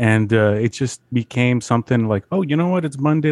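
In a plain, everyday voice, a man talks at a fairly quick pace and medium pitch with ordinary pitch variation, the sound dry and close with no echo. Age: 30s. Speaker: comic artist and podcaster. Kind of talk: casual chat.

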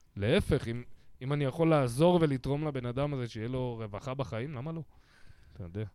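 On a very clean recording with a silent background, a man of medium pitch speaks in a dark, mellow tone, leaving long, frequent pauses. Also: ordinary pitch variation, fairly quick pace. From Israel, Bat Yam. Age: 40s. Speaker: podcast host, comedian. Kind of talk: casual chat.

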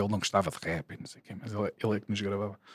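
A man with a rather low pitch is heard on a very clean recording against total silence. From Portugal, Lisbon area (Porto Salvo, Oeiras). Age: 40s. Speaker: rapper. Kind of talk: casual chat.

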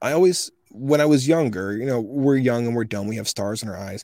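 Man with an American accent and a dark, mellow tone, medium pitch, ordinary pitch variation and a fairly quick pace. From US South. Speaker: voice actor. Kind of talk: casual interview chat.

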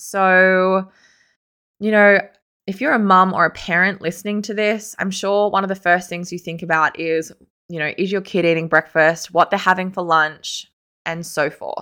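The voice has a bright, sharp tone and an Australian accent. Its intonation stays fairly even. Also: woman, medium pitch for a woman, moderate pace, very clean recording, silent background. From Sydney, Australia. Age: 30s. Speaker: podcast host. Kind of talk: solo podcast monologue.

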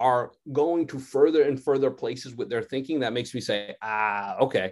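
Using a plain, everyday voice, a man with an American accent talks at a moderate pace at a medium pitch with ordinary variation. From Connecticut. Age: 40s. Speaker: sociology professor. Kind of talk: radio interview.

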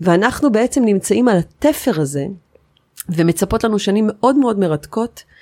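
On a very clean recording with a silent background, a woman speaks at a moderate pace with a dark, mellow tone. Her fairly high voice swings very widely in pitch. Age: 40s. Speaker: architect. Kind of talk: interview. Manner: animated.

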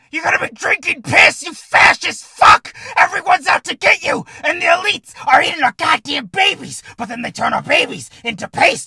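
A man shouts in a put-on character voice at an extremely high pitch. He keeps a moderate pace with hardly any pauses. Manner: screaming, manic, accusatory.

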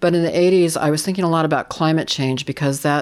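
A woman talks with a Californian accent. Her intonation stays fairly even. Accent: Californian American. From US West Coast, San Francisco Bay Area. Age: 60s. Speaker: photographer. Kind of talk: interview. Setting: remote recording.

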